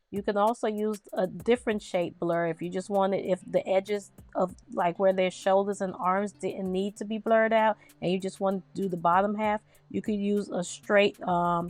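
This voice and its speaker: A woman speaks with fairly even intonation. The sound is dry and close with no echo, and music plays in the background. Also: medium pitch for a woman, moderate pace. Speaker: design tutorial creator. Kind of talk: tutorial. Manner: loud; casual, chatty.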